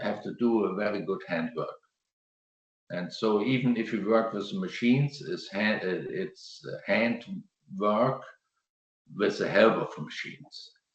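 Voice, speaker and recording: A man's medium-pitched voice with a German accent, very wide pitch swings and a fairly slow pace. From Germany. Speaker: landscape gardener. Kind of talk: presentation and Q&A answer. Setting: video call. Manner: halting.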